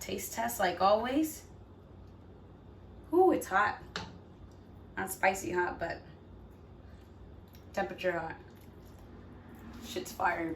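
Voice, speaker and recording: A woman speaks very slowly with very wide pitch swings, long and frequent pauses, and audible room echo. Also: medium pitch for a woman. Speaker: cooking vlogger. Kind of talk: cooking tutorial. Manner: stumbling over words; casual, chatty.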